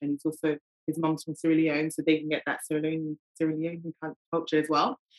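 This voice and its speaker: A woman with a London accent talks at a very fast pace in a very deep, low voice, her tone bright and sharp, and the sound is dry and close with no echo. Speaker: parent. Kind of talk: casual chat.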